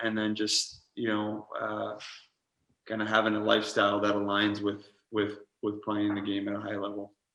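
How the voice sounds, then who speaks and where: Recorded with audible room echo, a man with a Canadian accent speaks at a moderate pace. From Canada (Montreal). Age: 30s. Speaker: pro lacrosse player and coach. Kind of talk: interview. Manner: hesitant, many fillers.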